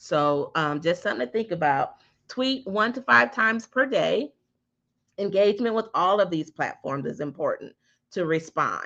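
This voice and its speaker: With vocal fry and very wide pitch swings around a medium pitch, a woman speaks at a moderate pace. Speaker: digital marketing instructor. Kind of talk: online class. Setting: live stream.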